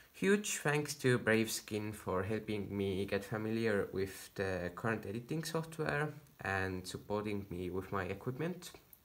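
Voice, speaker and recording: A man with a non-native accent and a fairly low pitch talks with lively intonation and hardly any pauses. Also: fairly slow pace. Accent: non-native accent, noticeable. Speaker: home chemistry hobbyist video maker. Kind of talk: tutorial. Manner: halting, many fillers.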